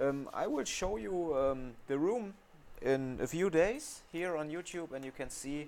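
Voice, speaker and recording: The speaker has a German accent and lively intonation. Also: man. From Germany. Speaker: phone repair technician. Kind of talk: tutorial. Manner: halting, with many fillers.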